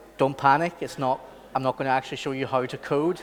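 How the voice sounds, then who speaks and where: A man with a Belfast accent talks at a fairly high pitch, his intonation fairly even. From Northern Ireland, Belfast. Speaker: architect and software trainer. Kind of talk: training workshop presentation. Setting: conference training session. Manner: casual, many fillers.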